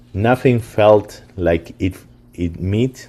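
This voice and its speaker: A man speaks in a dark, mellow tone with a Spanish accent. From Argentina, Buenos Aires. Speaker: company founder. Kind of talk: webinar presentation. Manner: halting, many fillers.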